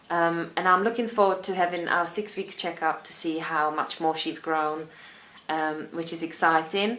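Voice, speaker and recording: A woman's fairly low voice with a Czech accent and fairly even intonation. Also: moderate pace. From Czech Republic. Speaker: vlogger. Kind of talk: casual vlog talk.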